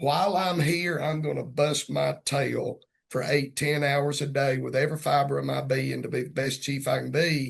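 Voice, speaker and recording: A Southern US accent marks this man's speech. He talks at a moderate pace. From Georgia, US South. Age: 50s. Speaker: police chief. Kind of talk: casual interview conversation. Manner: animated.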